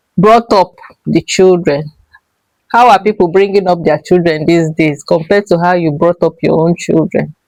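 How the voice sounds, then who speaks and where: A woman speaks in an unremarkable speaking voice, fairly low in pitch, at a moderate pace with fairly even intonation and very even loudness, the sound dry and close with no echo. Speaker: interviewer. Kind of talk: interview questions.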